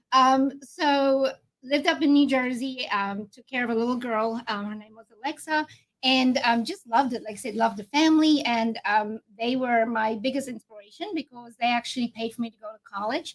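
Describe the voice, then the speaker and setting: With a South African accent, a woman speaks at a high pitch and a moderate pace, her pitch varying in an ordinary way while her loudness swings widely. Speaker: insurance agent. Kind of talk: interview on a live video show.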